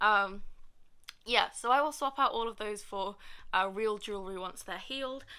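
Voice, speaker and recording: A woman's bright, sharp, fairly high voice with a British accent, on a very clean recording with a silent background. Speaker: vlogger. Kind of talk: casual vlog talk to camera. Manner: fast; hesitant, many fillers.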